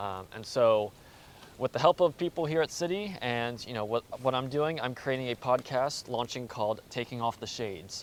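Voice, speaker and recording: An ordinary speaking voice from a man with an American accent, medium pitch, lively intonation and a moderate pace. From US, Baltimore, Maryland. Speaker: postgraduate student, podcaster. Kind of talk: casual interview. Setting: outdoors, walking around a square.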